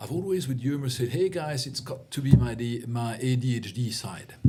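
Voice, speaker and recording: A man speaks at a fairly slow pace with a French accent, music playing in the background. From Belgium. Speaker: CEO coach. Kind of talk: interview conversation.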